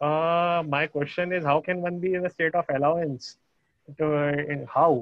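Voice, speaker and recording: A man's fairly high voice with fairly even intonation. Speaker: program participant. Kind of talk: question and answer. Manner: fast; hesitant, many fillers.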